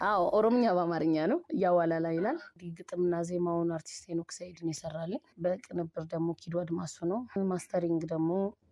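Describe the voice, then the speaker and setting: A woman speaks in a plain, everyday voice. Her pitch sits fairly low and varies in an ordinary way. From Ethiopia. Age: young. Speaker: singer; radio interviewee. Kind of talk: casual interview. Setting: phone call. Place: studio. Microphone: studio mic.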